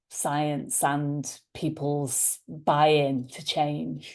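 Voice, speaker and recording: In a Liverpool accent, a woman with a very deep, low, dark and mellow voice speaks in a flat monotone over a quiet background. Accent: Liverpool (Scouse) English. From Liverpool, England. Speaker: leadership coach. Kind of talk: interview conversation.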